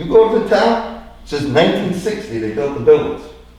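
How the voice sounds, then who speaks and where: With an animated tone, a man talks at a very fast pace amid audible room echo and noticeable background noise. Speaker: property developer and resident. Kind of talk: public comment at town meeting. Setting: town board meeting.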